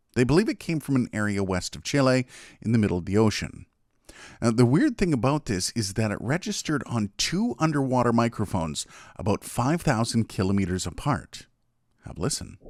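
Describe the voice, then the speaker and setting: A man with a plain, everyday voice speaks at a medium pitch, at a fairly quick pace with lively intonation. The sound is dry and close with no echo, in a very clean recording over a silent background. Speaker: narrator. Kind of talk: documentary narration about mysteries.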